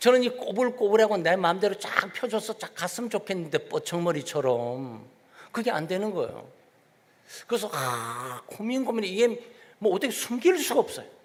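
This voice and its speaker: The man's high voice is animated in tone and swings very widely in pitch. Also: moderate pace. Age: 60s. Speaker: pastor. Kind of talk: sermon.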